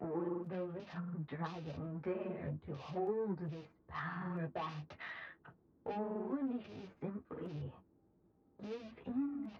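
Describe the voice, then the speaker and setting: A put-on character voice at middle pitch, very slow in pace, with long, frequent pauses. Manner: dramatic storytelling.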